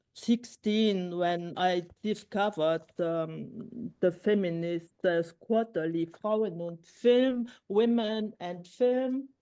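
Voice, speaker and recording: A woman speaks very slowly with a non-native accent, her tone dark and mellow and her pitch varying in an ordinary way. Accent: non-native English speaker. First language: Luxembourgish. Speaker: filmmaker. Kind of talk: conversation interview. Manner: halting.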